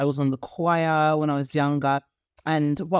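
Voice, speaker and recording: Ordinary pitch variation comes through in a British accent. The sound is dry and close with no echo, and the recording is very clean with a silent background. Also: woman. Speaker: leadership coach and lecturer. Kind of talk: casual interview chat.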